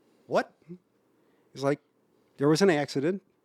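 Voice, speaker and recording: Fairly high-pitched man's voice with a Chicago accent, ordinary pitch variation and a dry, close sound with no echo. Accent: Chicago area. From Berwyn, Illinois. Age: 50s. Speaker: house music DJ. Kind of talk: podcast interview answer. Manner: casual, conversational.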